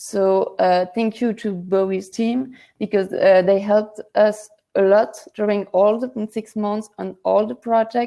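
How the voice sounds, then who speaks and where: A woman's dark, mellow voice at medium pitch in a French accent, with a fairly slow pace and fairly even intonation. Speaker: project co-founder. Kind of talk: speech at an online awards ceremony. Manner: halting, many fillers.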